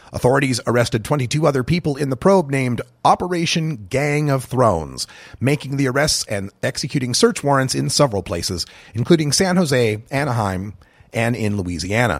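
At a fairly quick pace, a medium-pitched man speaks with vocal fry and lively intonation. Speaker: news reader. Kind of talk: scripted newsreading, formal broadcast delivery of headlines. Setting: studio. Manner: brisk, even, authoritative; formal, neutral.

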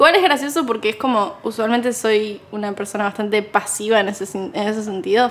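A woman with a Rioplatense accent talks at a fairly quick pace and fairly high pitch, with ordinary pitch variation. Noticeable background noise runs underneath. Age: 20s. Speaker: podcast co-host, content creator and video editor. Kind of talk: casual chat.

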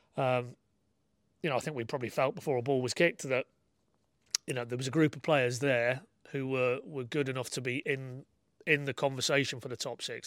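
A man with a northern English accent speaks at a fairly quick pace, with a medium pitch and fairly even intonation. The sound is dry and close with no echo, on a very clean recording with a silent background. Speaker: football journalist. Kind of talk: casual chat.

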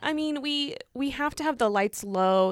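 A woman with a plain, everyday voice and an American accent speaks at a fairly slow pace with lively intonation, recorded very cleanly against a silent background with a dry, close sound and no echo. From Illinois, US Midwest farming community. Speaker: museum staff. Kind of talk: casual chat.

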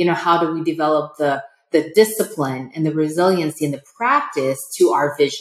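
In a General American accent, a woman speaks with a very deep, low pitch. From United States. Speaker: entrepreneur. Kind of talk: interview.

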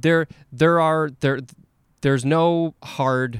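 Taking a fairly slow pace, a man is talking. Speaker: podcast host. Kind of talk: casual conversational interview. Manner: hesitant, filler-heavy speech.

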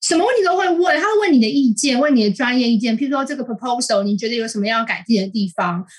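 A woman talks at a very fast pace with hardly any pauses, her high pitch making very wide swings. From Taiwan. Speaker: columnist. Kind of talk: interview. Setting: remote call.

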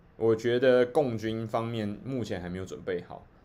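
A man with a fairly low voice. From Taiwan. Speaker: livestream host. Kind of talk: livestream commentary. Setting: live stream.

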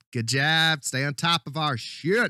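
A man speaks in an animated tone with a bright, sharp sound and fairly high pitch, recorded dry and close with no echo. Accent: American. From California. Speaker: podcast co-host. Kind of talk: casual comedic movie podcast banter. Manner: animated, profane, ranting.

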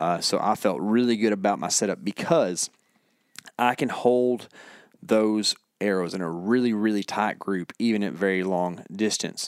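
At a moderate pace, a man with a plain, everyday voice and a fairly low pitch speaks with ordinary pitch variation. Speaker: hunting podcast co-host. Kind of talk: casual chat. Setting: studio.

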